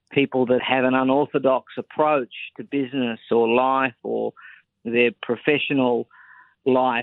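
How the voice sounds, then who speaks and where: Speaking with an Australian accent, a man at medium pitch delivers monotone, flat intonation at a fairly slow pace. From Australia, Sydney. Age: 30s. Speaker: political commentator and author. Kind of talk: interview. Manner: formal.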